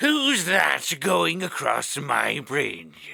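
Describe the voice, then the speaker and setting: In a put-on character voice, a man shouts with a booming, raspy sound. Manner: shouting, menacing.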